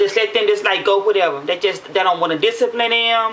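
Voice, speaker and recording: At a very fast pace and in an animated tone, a woman speaks at medium pitch with ordinary pitch variation over noticeable background noise. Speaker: vlogger. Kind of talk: casual monologue to camera. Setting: at home after a shower.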